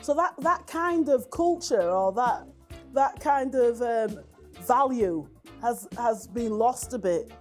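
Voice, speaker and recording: With music playing behind her, a woman in a West Yorkshire accent speaks very slowly at a high pitch, her pitch swinging very widely. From West Yorkshire, Brighouse. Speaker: community interviewee. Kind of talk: personal testimony interview. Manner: hesitant, many fillers and repeats.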